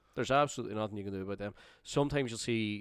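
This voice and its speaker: This man has a fairly low voice and a Northern Irish accent. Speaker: football podcast co-host. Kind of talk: casual chat.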